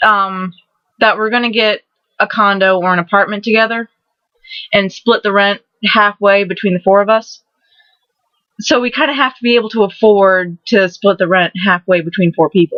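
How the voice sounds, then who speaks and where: A woman with a Southern US accent talks at a moderate pace with fairly even intonation and long, frequent pauses. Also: medium pitch for a woman. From Maryland, St. Mary's County. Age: 20s. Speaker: vlogger. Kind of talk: casual vlog monologue. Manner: halting, repetitive.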